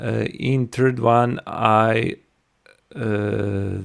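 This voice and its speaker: Recorded very cleanly against a silent background, a man speaks with a non-native accent. His intonation is flat and monotone. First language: not English. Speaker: software tutorial creator. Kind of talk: tutorial. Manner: halting, many fillers.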